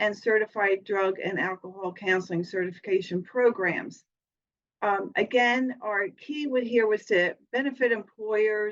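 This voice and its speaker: Fairly slow female speech, fairly high in pitch, with ordinary pitch variation and a plain, everyday voice. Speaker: college program administrator. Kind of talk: progress report presentation.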